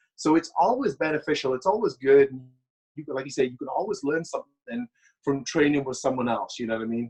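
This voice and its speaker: A very fast voice with a Welsh accent, in a dry, close sound with no echo. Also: man. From Wales. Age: 30s. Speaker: bodybuilder and former pro wrestler. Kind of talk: casual interview chat. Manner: hesitant, repeats words.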